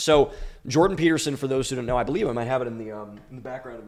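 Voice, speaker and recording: Very fast speech over noticeable background noise. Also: man. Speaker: podcast host. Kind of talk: solo commentary podcast. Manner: hesitant with fillers; formal scripted delivery.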